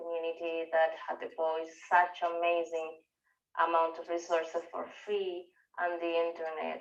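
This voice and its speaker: A woman with a strong Venezuelan accent speaks at a fairly low pitch. Her pace is fairly slow. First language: Spanish. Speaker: researcher and part-time professor. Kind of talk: conference talk. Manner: halting, many fillers.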